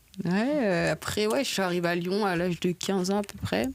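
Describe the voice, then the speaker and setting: The pace of this woman's speech is moderate. Her pitch shows ordinary variation. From Paris region, Seine-et-Marne. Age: 20s. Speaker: professional football player. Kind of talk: podcast interview.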